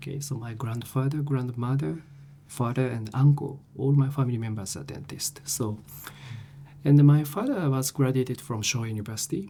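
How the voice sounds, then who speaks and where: Medium pitch from a man with a Japanese accent, ordinary pitch variation and a moderate pace. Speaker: professor. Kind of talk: interview. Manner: halting.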